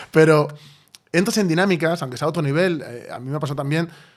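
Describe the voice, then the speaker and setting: Talking at a very fast pace, a man keeps a fairly high pitch with fairly even intonation. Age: 30s. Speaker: podcast host and novelist. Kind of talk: casual interview conversation.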